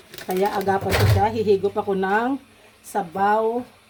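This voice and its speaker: A woman keeps her intonation fairly even while noticeable background noise runs underneath. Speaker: cooking vlogger. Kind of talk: cooking tutorial. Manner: casual.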